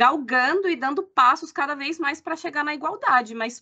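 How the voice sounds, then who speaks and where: Her voice raised and projected, a woman speaks with lively intonation and a bright, sharp tone. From Brazil. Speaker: company employee, humanization lead. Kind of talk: casual chat.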